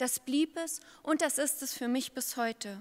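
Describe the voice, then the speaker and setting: A woman speaks very slowly in a high, bright, sharp voice. Her pitch varies in an ordinary way. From eastern Germany, Brandenburg (Uckermark); Brandenburg, Germany. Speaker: pastor. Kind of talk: candidacy speech to a church synod. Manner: formal. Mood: earnest, confident. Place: hall. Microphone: podium.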